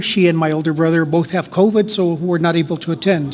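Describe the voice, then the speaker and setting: A man with a high voice, talking fairly quickly in a fairly even tone over noticeable background noise. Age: 60s. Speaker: retired educator, award honoree. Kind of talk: personal testimony and acceptance speech. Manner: halting, unscripted.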